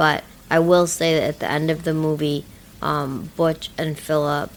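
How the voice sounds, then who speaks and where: Quiet and flat, a woman speaks in a monotone at a very deep, low pitch. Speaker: movie review podcast co-host. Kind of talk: casual chat. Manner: hesitant, many fillers.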